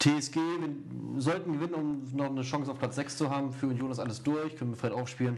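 This man has an ordinary speaking voice, pitched fairly high, and talks at a fairly quick pace. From Erzgebirge, Saxony. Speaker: football podcast host. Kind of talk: casual chat.

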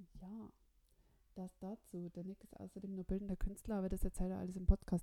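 A woman's medium-pitched voice at a fairly quick pace, dark and mellow in tone, with a dry, close sound and no echo. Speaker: podcast host. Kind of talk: scripted narration; casual chat. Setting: Skype call. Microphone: Skype and voice recorder, technical problems.

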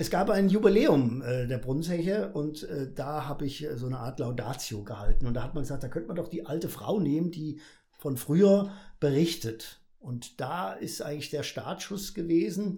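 A man with a fairly high pitch and a dark, mellow tone talks at a moderate pace with lively intonation. His voice is somewhat breathy, and the room echo is audible. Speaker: carnival comedian. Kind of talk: casual interview. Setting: studio.

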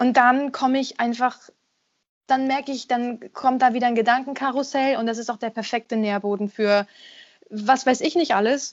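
Intonation is fairly even. The speech moves at a moderate pace. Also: woman, high pitch for a woman. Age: 30s. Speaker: singer and voice actor. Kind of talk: casual interview.

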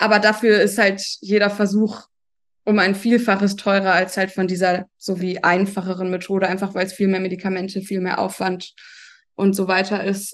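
A woman's normal speaking voice, a normal speaking voice at medium pitch and a moderate pace. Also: quiet background. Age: 30s. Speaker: expectant mother. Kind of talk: casual chat.

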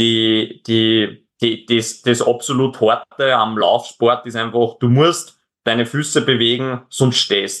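A man with an Upper Austrian accent speaks at a medium pitch with fairly even intonation. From Upper Austria, near Linz. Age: 20s. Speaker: extreme endurance athlete. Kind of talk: interview. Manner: halting, many repetitions.

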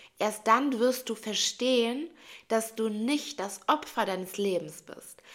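A woman speaks at a very slow pace in a fairly high pitch. Her pitch varies in an ordinary way. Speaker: spiritual coach / life coach. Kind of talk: motivational monologue.

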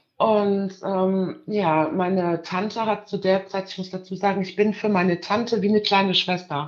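With hardly any pauses, a woman talks at a moderate pace in a medium pitch, her intonation monotone and flat. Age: 30s. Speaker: caller. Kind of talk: testimony.

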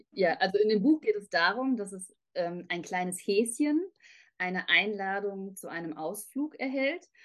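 This woman has an ordinary speaking voice at medium pitch, with lively intonation. She talks at a fairly slow pace, and her loudness swings widely. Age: 30s. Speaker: author. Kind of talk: interview.

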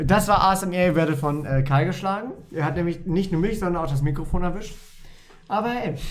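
High-pitched man at a moderate pace, ordinary pitch variation, audible room echo. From Lower Saxony, Germany (Wolfenbüttel). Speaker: podcast co-host. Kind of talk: casual chat.

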